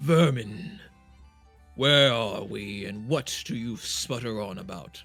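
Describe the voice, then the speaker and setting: Putting on a character voice, a man at medium pitch speaks at a fairly slow pace with lively intonation and big swings in loudness while faint music plays in the background. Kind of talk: grandiloquent. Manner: majestic, pompous.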